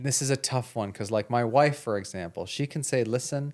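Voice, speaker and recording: At a moderate pace, a man speaks in a plain, everyday voice with a medium pitch. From Canada (Toronto). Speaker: podcast co-host, doctor. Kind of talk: casual chat.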